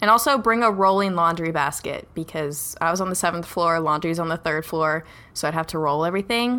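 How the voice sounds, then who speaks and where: A woman talks with an American accent at a fairly quick pace. Her fairly low pitch has a bright, sharp tone. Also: very clean recording, silent background. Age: 20s. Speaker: college student podcast co-host. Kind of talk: casual chat.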